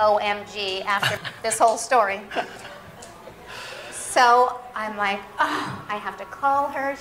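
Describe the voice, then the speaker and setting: A woman speaks with audible room echo and music in the background. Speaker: cooking demo host. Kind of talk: storytelling to audience. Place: stage. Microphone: headset.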